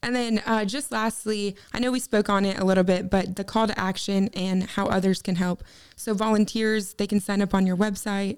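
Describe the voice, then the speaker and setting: A woman's medium-pitched voice at a moderate pace, with fairly even intonation and an ordinary speaking voice. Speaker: podcast host and marketing advisor. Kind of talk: interview, hosting a corporate podcast.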